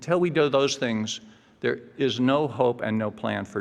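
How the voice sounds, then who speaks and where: An American accent marks this man's voice, which has vocal fry and lively intonation. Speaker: climate policy expert. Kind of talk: conference speech. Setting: conference. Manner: fast.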